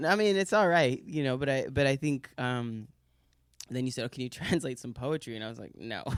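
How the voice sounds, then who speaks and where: A man with a New York accent speaks at a fairly quick clip, his medium-pitched voice moving in lively intonation and big swings in loudness. The recording is very clean, with a silent background. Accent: New York American. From New York City. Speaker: translator and artist. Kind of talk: casual conversation. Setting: room with audience in Brussels. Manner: halting, many fillers and restarts.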